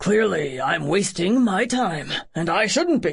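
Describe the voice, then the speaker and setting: A put-on character voice at a middle pitch sounds strained and raspy. It moves at a fairly slow pace. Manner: strained, speaking through clenched teeth.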